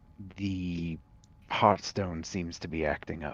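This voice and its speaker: A man speaks in a put-on character voice, very deep and low, with flat, monotone intonation at a fairly slow pace. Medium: actual play.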